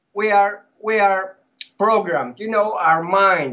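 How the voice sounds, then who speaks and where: A man with a Greek accent talks at a fairly slow pace. His pitch is high. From Greece. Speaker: former cult member. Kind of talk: podcast interview. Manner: animated.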